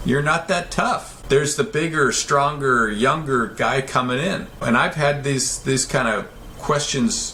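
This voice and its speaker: At a fairly slow pace, a man with fairly high pitch speaks with very even loudness and ordinary pitch variation, amid noticeable background noise and audible room echo. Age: 70s. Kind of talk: interview. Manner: halting, with frequent repetitions.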